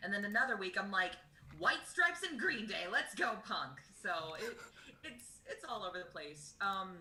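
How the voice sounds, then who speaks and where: A woman with an American accent speaks at a moderate pace in a medium pitch, her voice swinging very widely up and down. Noticeable background noise and audible room echo fill the recording. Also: big swings in loudness. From Texas, Dallas area. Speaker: singer in a cover band. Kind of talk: casual interview.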